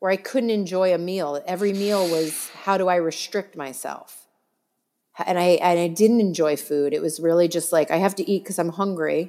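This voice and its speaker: An ordinary speaking voice from a woman, fairly low in pitch, with fairly even intonation at a moderate pace. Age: 40s. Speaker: celebrity makeup artist. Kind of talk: casual chat.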